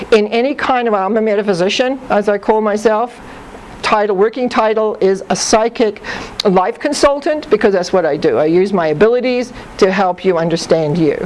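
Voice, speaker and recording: Fairly high pitch from a woman, set against noticeable background noise. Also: lively intonation, moderate pace. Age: 60s. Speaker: psychic life consultant. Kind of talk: talk to audience.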